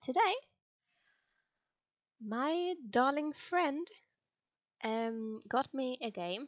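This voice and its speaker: A woman with a non-native accent talks at a high pitch, her voice making very wide pitch swings. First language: not English. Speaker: gamer. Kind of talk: casual let's play commentary.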